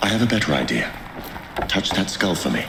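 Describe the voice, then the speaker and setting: A man puts on a character voice with very deep, low pitch at a fairly quick pace. Loud background noise runs behind him. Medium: short film. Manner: dry, measured.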